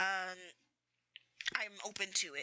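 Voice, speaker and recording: A woman is whispering. She has an American accent. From US Mid-Atlantic (DC/Maryland/Virginia area). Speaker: streamer. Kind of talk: casual chat. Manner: halting.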